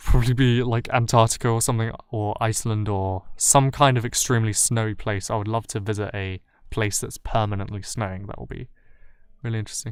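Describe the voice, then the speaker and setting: In a very clean recording with a silent background, a man speaks at medium pitch with monotone, flat intonation. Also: fairly quick pace. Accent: British. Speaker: YouTube commentary creator. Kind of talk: livestream Q&A. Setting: livestream. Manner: halting, many fillers.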